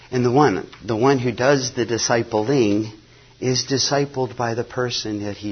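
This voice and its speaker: A man's somewhat breathy, medium-pitched voice with ordinary pitch variation. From US (missionary kid born in Nigeria). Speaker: mission agency staff, former missionary. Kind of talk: conference talk. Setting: conference breakout session.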